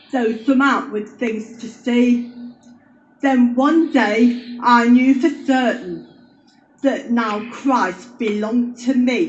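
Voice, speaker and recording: Music plays in the background while a woman speaks at a very slow pace. Her voice is high, with fairly even intonation. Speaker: amateur poet. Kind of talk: poetry reading.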